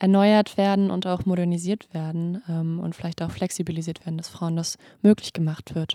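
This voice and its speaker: At a moderate pace, a woman's medium-pitched voice comes through dark and mellow, monotone and flat, dry and close with no echo in a very clean recording with a silent background. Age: 20s. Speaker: medical student podcast host. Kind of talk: interview.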